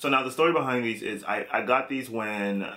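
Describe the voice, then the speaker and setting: With a bright, sharp tone and an American accent, a man speaks at a moderate pace with fairly even intonation. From US, New York (Brooklyn); New York. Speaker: fashion vlogger. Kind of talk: casual vlog tutorial; casual vlog chat. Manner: halting.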